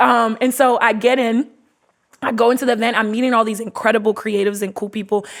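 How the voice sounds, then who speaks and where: An unremarkable speaking voice from a woman with an American accent, fairly high in pitch, at a fairly quick pace with fairly even intonation. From US Mid-Atlantic (DC, Maryland, Virginia area). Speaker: podcast host and entrepreneur. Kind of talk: casual interview testimony.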